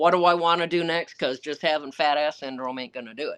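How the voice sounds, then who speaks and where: The setting is quiet. A woman talks at a moderate pace. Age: 60s. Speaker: author and Arctic camp owner. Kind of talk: live Q&A. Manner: animated.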